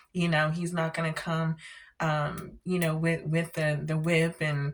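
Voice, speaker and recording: A somewhat breathy woman with a fairly low pitch speaks at a fairly slow pace in a monotone, flat intonation. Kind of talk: faith testimony vlog. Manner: hesitant, many fillers.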